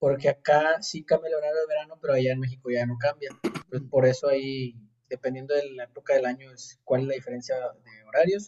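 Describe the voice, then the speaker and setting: Somewhat breathy and fairly high-pitched, a man speaks at a fairly quick pace with fairly even intonation and big swings in loudness. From Monterrey, Mexico. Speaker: podcast guest. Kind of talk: casual chat.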